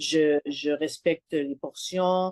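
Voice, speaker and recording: A woman with a Quebec accent, in a dry, close recording with no echo. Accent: Québécois French. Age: 60s. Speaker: client sharing testimonial. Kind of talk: testimony interview. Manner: halting, many hesitations.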